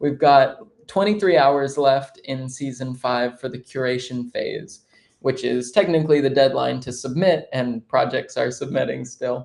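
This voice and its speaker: This is an ordinary speaking voice with ordinary pitch variation, moving at a fairly slow pace. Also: man, medium pitch for a man. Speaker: livestream host, XR film director. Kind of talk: live-streamed interview show. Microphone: hears own voice echo with delay.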